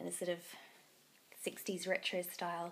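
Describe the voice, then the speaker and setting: In an Australian accent, a woman speaks at medium pitch. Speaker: knitting podcaster. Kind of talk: casual chat.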